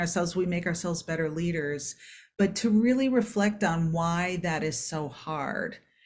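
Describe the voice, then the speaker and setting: Somewhat breathy, the voice moves at a moderate pace with ordinary pitch variation. The recording is very clean with a silent background. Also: woman. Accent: American. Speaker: performance psychologist. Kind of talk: podcast interview.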